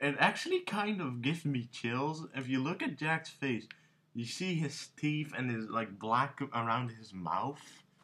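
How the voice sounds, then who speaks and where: Bright and sharp in tone, a man speaks with lively intonation. His pace is fairly slow. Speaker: young comic artist. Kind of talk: casual vlog chat. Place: home room. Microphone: webcam.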